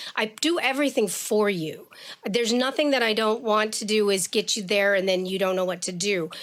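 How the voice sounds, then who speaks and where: A woman talks fairly quickly in a fairly high voice with ordinary pitch variation. Hers is an unremarkable speaking voice. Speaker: education activist, longtime educator. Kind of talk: podcast interview.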